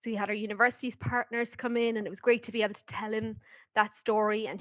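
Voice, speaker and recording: Fairly high pitch and fairly even intonation from a woman with an Irish accent. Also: quiet background. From Ireland. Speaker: marketing professional, program alumna. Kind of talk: podcast interview.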